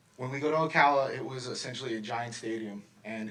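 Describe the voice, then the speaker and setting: Intonation stays fairly even as a man talks at a medium pitch. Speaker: swim coach. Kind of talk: award speech at public meeting. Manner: loud.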